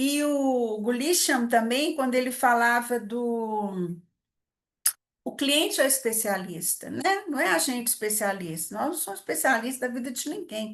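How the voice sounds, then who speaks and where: Fairly slow delivery with lively intonation and audible room echo. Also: woman, high pitch for a woman. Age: 60s. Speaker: psychologist, family therapist. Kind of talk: lecture. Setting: event with live audience. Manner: informal, conversational.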